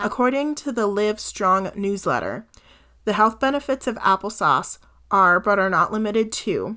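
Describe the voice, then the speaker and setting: A woman with a General American accent speaks in an unremarkable speaking voice, her fairly high pitch moving with ordinary variation against a quiet background. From Colorado. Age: 20s. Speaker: health coach podcaster. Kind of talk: casual solo podcast monologue.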